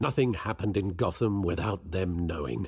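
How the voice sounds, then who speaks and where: Putting on a character voice, a man growls at a very deep, low pitch with lively intonation and a moderate pace against a quiet background. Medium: video game. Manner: formal, measured.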